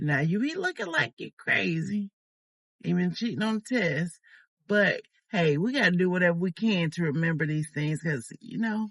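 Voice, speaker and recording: A somewhat breathy voice with lively intonation, recorded with a dry, close sound and no echo. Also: woman, fairly low pitch for a woman. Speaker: YouTuber. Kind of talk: casual vlog talk. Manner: slow, sometimes fumbling for words.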